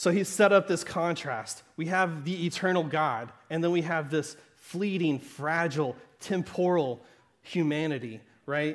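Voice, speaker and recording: A fairly high-pitched man with a Southern Arkansas accent, fairly slow pace and ordinary pitch variation. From US South, southern Arkansas. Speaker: pastor. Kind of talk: sermon. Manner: conversational, with frequent laughs.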